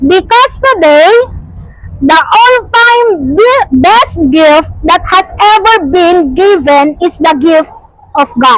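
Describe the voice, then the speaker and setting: Against noticeable background noise, a woman speaks at a very slow pace in an extremely high voice, with very wide pitch swings and very even loudness. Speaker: preacher. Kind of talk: sermon.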